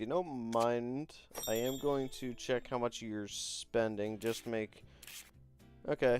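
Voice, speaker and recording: Music plays in the background as a man talks at a fairly slow pace, his medium pitch moving with ordinary variation. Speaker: gaming streamer. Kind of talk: livestream account review. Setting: live stream. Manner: halting, filler-heavy.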